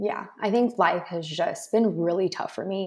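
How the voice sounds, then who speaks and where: In a normal speaking voice, a woman talks at a moderate pace, her pitch varying in an ordinary way. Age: 20s. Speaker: online business coach. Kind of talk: interview.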